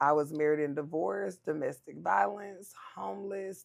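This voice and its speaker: Her pitch is very deep and low. This woman's voice carries vocal fry. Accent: American. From Southern California. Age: 40s. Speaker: nonprofit founder. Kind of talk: interview testimony.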